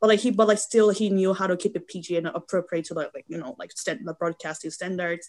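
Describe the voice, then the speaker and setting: A woman talks at a very fast pace with hardly any pauses, big swings in loudness, a medium pitch and ordinary pitch variation. The sound is dry and close with no echo. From South Korea. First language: Korean. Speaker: photographer and model. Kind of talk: casual chat. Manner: halting.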